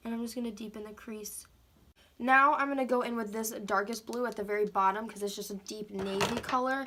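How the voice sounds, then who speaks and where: Over noticeable background noise, a woman with a fairly high pitch talks at a fairly quick pace, her intonation fairly even and her loudness swinging widely. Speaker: makeup tutorial creator. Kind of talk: makeup tutorial. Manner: casual, chatty.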